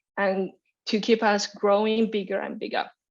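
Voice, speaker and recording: A woman with a Chinese accent and a fairly high pitch, against a quiet background. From China. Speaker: graduate student presenter. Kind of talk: orientation webinar presentation. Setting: online webinar. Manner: energetic, occasional stumbles.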